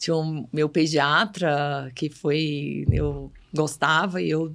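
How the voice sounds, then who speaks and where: Spoken with a northeastern Brazilian accent, this is a very clean recording with a silent background. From Bahia, Brazilian Northeast. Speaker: pediatric neurologist. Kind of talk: podcast interview.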